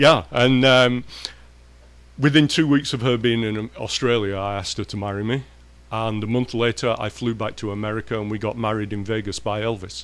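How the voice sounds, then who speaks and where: With an English accent, a man of medium pitch talks at a fairly quick pace. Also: fairly even intonation. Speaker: professor.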